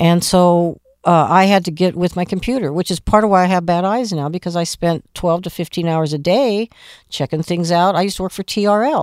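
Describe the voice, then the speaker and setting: A woman with a normal speaking voice and an American accent talks at a fairly quick pace in a fairly low pitch with ordinary pitch variation, recorded very cleanly against a silent background with a dry, close sound and no echo. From Phoenix, Arizona. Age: 60s. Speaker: music promoter. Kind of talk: interview. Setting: studio.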